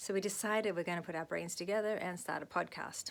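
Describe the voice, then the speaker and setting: Woman with an Australian accent at medium pitch and a fairly quick pace. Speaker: actress and vlogger. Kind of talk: casual vlog monologue. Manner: fast.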